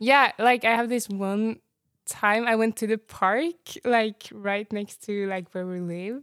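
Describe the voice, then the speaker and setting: A woman with a Norwegian accent, fairly high in pitch, at a very slow pace with ordinary pitch variation, in a very clean recording with a silent background and a dry, close sound with no echo. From Norway. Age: young. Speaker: university student. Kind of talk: casual chat.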